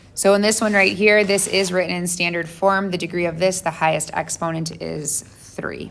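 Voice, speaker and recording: At a moderate pace and with hardly any pauses, a woman with a normal speaking voice talks at a fairly low pitch with fairly even intonation. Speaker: math teacher. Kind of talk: lecture.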